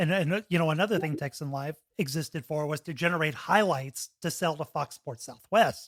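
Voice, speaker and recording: A man speaks in an ordinary speaking voice at a fairly quick pace with hardly any pauses and ordinary pitch variation, recorded very cleanly against a silent background with a dry, close sound and no echo. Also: fairly high pitch for a man. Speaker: podcast host and broadcaster. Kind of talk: podcast host interviewing a guest.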